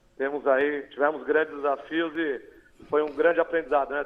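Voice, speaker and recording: This man has a plain, everyday voice, pitched fairly high, and speaks at a moderate pace. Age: 40s. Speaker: mayor. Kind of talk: TV interview.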